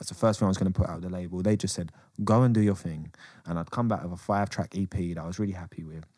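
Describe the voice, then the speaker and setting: With a London accent, a man talks at a very fast pace in a very deep, low pitch with a dark, mellow tone and ordinary pitch variation, captured in a very clean recording with a silent background. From England. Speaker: rapper. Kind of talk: casual chat.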